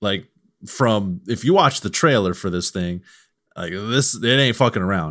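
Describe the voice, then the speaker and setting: In a slight Southern US accent, a man with a fairly low pitch talks at a fairly slow pace with lively intonation, captured in a very clean recording with a silent background. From US South, Mississippi. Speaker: video game journalist. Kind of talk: casual chat.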